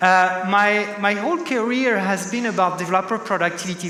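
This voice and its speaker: A man with a French accent is heard through audible room echo and noticeable background noise. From France, Paris. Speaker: tech executive, keynote speaker. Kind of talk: conference keynote. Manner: many filler sounds and restarts.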